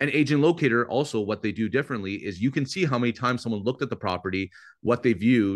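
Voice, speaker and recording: Against a quiet background, a man with a Canadian accent talks at a very fast pace with ordinary pitch variation. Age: 30s. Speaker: real estate agent and lead-generation coach; lead-generation coach. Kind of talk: webinar coaching session. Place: home room. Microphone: video call.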